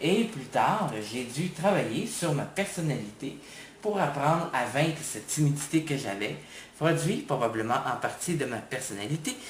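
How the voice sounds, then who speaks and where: In a Quebec accent, a man speaks at a fairly slow pace with a fairly high pitch and very wide pitch swings. Audible room echo and noticeable background noise surround him. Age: 20s. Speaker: university student. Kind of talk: testimony.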